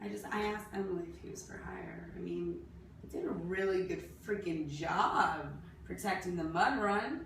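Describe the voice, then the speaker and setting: Audible room echo with a woman at a moderate pace over noticeable background noise. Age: 30s. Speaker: fitness athlete vlogger. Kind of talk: video application monologue. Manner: animated.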